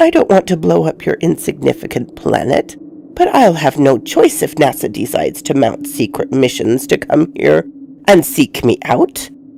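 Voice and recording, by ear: Over faint background noise, a woman puts on a character voice with a low pitch, a dark, mellow tone, vocal fry and big pitch swings. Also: moderate pace.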